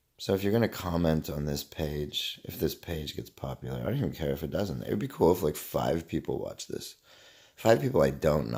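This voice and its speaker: With a very deep, low pitch, vocal fry and a dark, mellow tone, a man speaks in a relaxed tone at a moderate pace with ordinary pitch variation. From Canada. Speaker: vlogger. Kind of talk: casual monologue.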